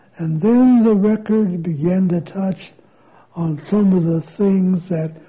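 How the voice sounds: Pitch moves in an ordinary way as a natural reading voice goes on.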